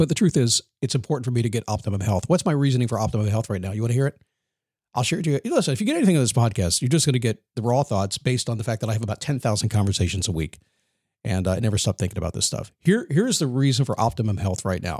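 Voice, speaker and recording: The voice is somewhat breathy, moving at a very fast pace with lively intonation. The sound is dry and close, with no echo. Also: man, medium pitch for a man. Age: 60s. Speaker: motivational podcast host. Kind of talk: motivational monologue. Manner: energetic.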